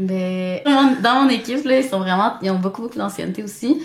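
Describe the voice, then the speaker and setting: This woman's voice sits at a medium pitch, with lively intonation. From Montreal, Quebec. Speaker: new nurse. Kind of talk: casual interview.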